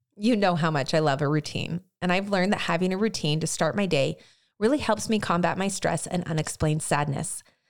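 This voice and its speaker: In a plain, everyday voice, a woman talks at a fairly quick pace with ordinary pitch variation and very even loudness, on a very clean recording with a silent background. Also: fairly low pitch for a woman. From US, moved around. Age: 30s. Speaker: podcast host. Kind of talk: casual interview chat. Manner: warm, expressive.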